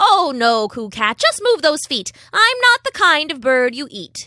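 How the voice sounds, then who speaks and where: A woman's high, put-on character voice with very wide pitch swings at a moderate pace, in a very clean recording with a silent background. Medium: read story. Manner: teasing.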